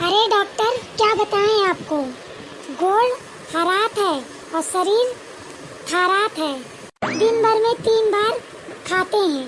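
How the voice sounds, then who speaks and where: A cartoonish character voice from a woman, extremely high-pitched and fairly slow, with very even loudness, long, frequent pauses and clear background noise. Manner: chatty, fretful.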